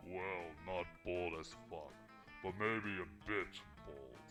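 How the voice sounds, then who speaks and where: A man growls in a put-on character voice at a very slow pace. Clear music plays in the background. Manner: booming.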